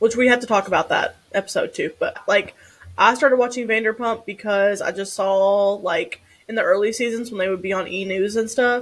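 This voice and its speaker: A woman with a Kentucky accent, fairly high pitch, fairly even intonation and a moderate pace. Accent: Kentucky accent, loud and proud. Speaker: podcast co-host, therapist. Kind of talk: casual chat.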